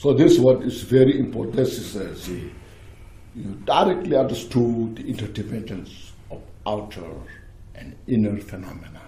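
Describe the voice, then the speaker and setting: At a moderate pace, a man with a medium-pitched, somewhat breathy voice speaks with lively intonation amid audible room echo. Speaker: Buddhist teacher. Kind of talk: dharma teaching with Q&A. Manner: halting.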